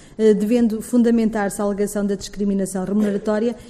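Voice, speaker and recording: Over noticeable background noise, a woman speaks at a fairly high pitch with monotone, flat intonation. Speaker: head of a public equality commission. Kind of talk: formal panel presentation.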